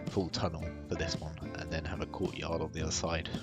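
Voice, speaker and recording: Over music in the background, a man rushes along at a very fast pace in a very deep, low pitch. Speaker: gaming video creator. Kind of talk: casual gameplay commentary.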